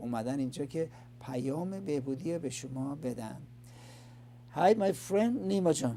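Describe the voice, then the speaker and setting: A man with an Iranian accent speaks fairly slowly in a dark, mellow, somewhat breathy tone at a medium pitch, with lively intonation and long, frequent pauses. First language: Farsi. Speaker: addiction recovery show host. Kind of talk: interview. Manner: halting.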